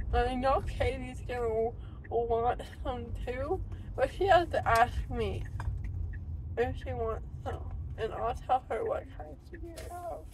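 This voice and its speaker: A woman speaks at a very slow pace with long, frequent pauses and big swings in loudness, in a dry sound with no echo and light background noise. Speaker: passenger vlogger. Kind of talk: casual vlog chat. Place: car. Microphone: phone near.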